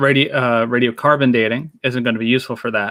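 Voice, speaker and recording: A man mumbles at medium pitch and a moderate pace with monotone, flat intonation. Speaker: nuclear engineer. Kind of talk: casual discussion. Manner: mumbling.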